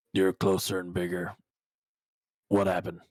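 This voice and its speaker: A man in a put-on character voice talks at a moderate pace, very deep and raspy with monotone, flat intonation, in a dry, close sound with no echo. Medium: actual play. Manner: suspicious, brusque.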